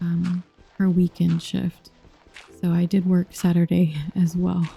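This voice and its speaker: A soft-spoken voice at a fairly slow pace, dry and close with no echo, amid noticeable background noise. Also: woman. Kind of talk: soft-spoken ASMR gaming chat.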